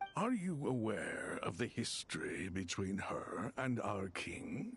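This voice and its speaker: Over music in the background, a man uses a put-on character voice at a medium pitch and a fairly slow pace. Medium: fan dub. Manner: measured, formal, contemplative.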